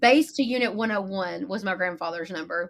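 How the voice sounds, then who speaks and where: With a Texan accent and a bright, sharp tone, a woman talks at a fairly quick pace with ordinary pitch variation. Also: very clean recording, silent background. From East Texas (Lufkin). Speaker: marketing agency owner. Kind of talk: podcast interview. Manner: casual, chatty.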